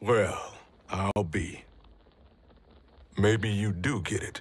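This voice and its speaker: A man puts on a raspy character voice at a fairly low pitch. He speaks at a very slow pace with fairly even intonation. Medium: video game. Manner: blunt, folksy, casual.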